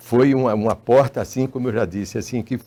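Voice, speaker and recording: Ordinary pitch variation moves through a dark, mellow tone. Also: man. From Paraíba, northeastern Brazil. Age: 80s+. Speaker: filmmaker. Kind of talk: interview. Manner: halting, with many repetitions.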